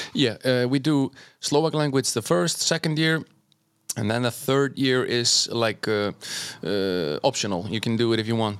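With an Icelandic accent, a man talks at a moderate pace, medium in pitch, with lively intonation. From Iceland and Norway. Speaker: doctor and DJ. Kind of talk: casual chat.

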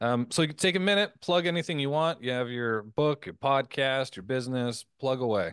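An ordinary speaking voice from a man at medium pitch, moderate in pace with hardly any pauses and lively intonation, over a quiet background. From Canada. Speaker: podcast host, former professional athlete. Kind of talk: interview conversation.

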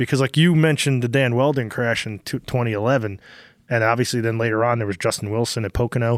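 A man speaks at medium pitch and a very fast pace. The sound is dry and close with no echo, a very clean recording with a silent background. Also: fairly even intonation. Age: 50s. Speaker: podcast host and race car driver. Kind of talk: casual chat.

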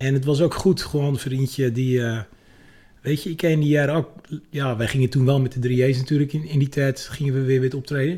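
Somewhat breathy with a dark, mellow tone, a man speaks at a fairly high pitch and a fairly quick pace. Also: fairly even intonation. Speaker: musician and guitarist. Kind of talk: casual chat. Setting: studio.

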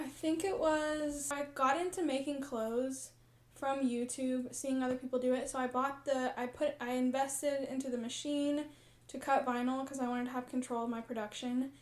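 A high-pitched woman with an American accent speaks at a moderate pace in a flat monotone. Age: 20s. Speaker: small business owner. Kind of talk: casual chat.

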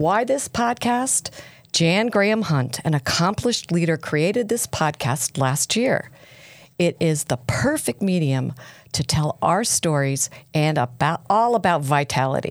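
A woman at a fairly low pitch with very wide pitch swings, very even loudness and a fairly slow pace, in a very clean recording with a silent background. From US East Coast. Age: 60s. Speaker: podcast host. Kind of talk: interview. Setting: studio.

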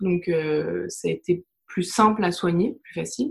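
A woman's somewhat breathy voice at a fairly low pitch. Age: 30s. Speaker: holistic therapist and digital project manager. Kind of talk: interview testimony.

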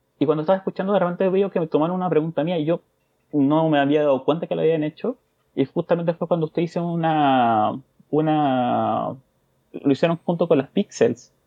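An unremarkable speaking voice, a man's, fairly high-pitched for a man and at a fairly quick pace. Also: ordinary pitch variation. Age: 30s. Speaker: podcast listener, father. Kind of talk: interview.

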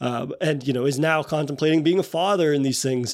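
Recorded very cleanly against a silent background, a man has an unremarkable speaking voice. His pitch is fairly high, and his intonation is fairly even. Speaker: podcast host. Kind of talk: casual interview chat.

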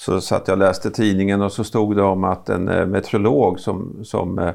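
Over a quiet background, a plain, everyday voice proceeds at a moderate pace. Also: man. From Östergötland, Norrköping area. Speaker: university vice-chancellor, podcast co-host. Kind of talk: casual interview chat.

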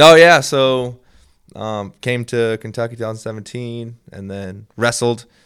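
Using an ordinary speaking voice, a man with an American accent talks fairly slowly at a medium pitch, with ordinary pitch variation and big swings in loudness. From Minnesota, US Upper Midwest. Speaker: sports ministry representative. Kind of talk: casual chat.

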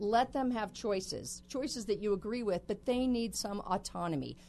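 A woman's unremarkable speaking voice at a moderate pace, with ordinary pitch variation and a quiet background. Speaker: guest expert on personality types. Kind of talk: interview. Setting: radio studio.

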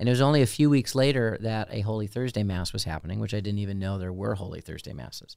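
A very fast-talking man with an American accent and ordinary pitch variation, on a very clean recording with a silent background. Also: fairly low pitch for a man. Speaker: deacon, podcast co-host. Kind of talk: casual chat.

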